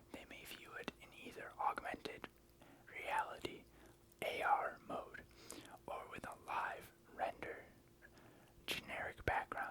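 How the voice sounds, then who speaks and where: Whispering at a fairly slow pace, with long, frequent pauses. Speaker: ASMR creator. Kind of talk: whispered reading of a Wikipedia article. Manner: whispered.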